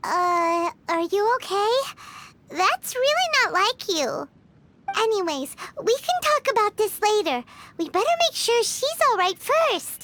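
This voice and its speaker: In a put-on character voice, the speaker squeaks at an extremely high pitch and talks at a fairly slow pace. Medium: video game. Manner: chatty, excitable.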